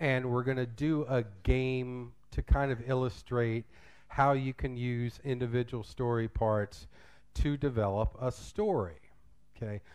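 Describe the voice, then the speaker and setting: A man with an American accent speaks at a medium pitch with ordinary pitch variation over a quiet background. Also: fairly slow pace. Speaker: English teacher and drama director. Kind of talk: conference workshop talk. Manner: loud; casual.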